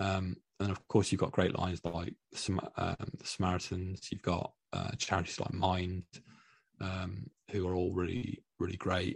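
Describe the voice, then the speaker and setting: Here a man speaks at a moderate pace with a very deep, low pitch. His voice is somewhat breathy, with monotone, flat intonation. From Scotland, Dundee. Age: 30s. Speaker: interview guest sharing mental health story. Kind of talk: personal testimony in interview.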